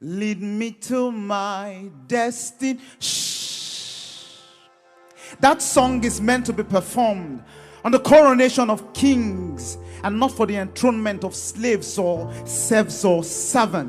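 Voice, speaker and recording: A man's high voice at a very slow pace with ordinary pitch variation, music in the background. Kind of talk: spoken word poetry performance. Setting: live event before a youth audience.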